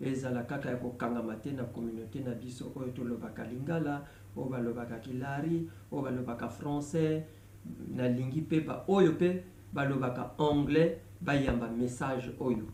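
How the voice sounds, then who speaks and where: A man speaks at a fairly slow pace and a medium pitch, with ordinary pitch variation and audible room echo. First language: Lari (speaking French). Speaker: gospel songwriter. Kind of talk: video announcement. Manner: halting, many hesitations.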